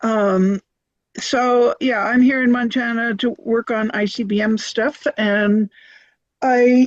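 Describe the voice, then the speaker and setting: A high-pitched woman's voice with fairly even intonation, dry and close with no echo, over a quiet background. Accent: American. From US East Coast. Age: 70s. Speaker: peace activist. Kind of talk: group video meeting introduction. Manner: hesitant, many fillers.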